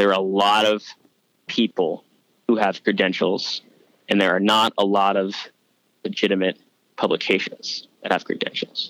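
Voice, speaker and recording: A man with an American accent at a fairly low pitch, monotone and flat, at a moderate pace with long, frequent pauses and very even loudness, in dry, close sound with no echo. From New York. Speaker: sports reporter. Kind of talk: casual interview.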